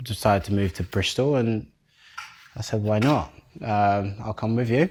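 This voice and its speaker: Ordinary pitch variation with a slight American accent. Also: man. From Netherlands, born in Nigeria. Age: 20s. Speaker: waste and recycling supervisor, home cook. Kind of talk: casual chat while cooking.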